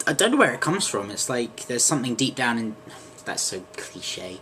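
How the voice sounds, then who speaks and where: A man's medium-pitched voice comes through with noticeable background noise. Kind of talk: casual talk to camera.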